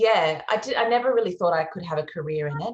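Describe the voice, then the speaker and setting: Somewhat breathy, a woman talks with an Australian accent. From Australia, Melbourne area. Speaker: singer-songwriter. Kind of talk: interview.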